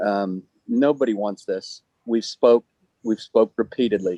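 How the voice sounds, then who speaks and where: The sound is dry and close with no echo. A man speaks at a moderate pace. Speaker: citizen speaker. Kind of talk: public comment at city meeting. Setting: outside the building, remote line. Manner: loud.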